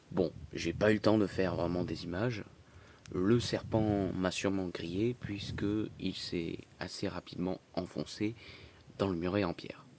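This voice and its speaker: A soft-spoken man talks at a fairly slow pace with a very deep, low pitch and fairly even intonation. He leaves long, frequent pauses. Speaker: nature YouTuber. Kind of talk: nature documentary narration. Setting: outdoors.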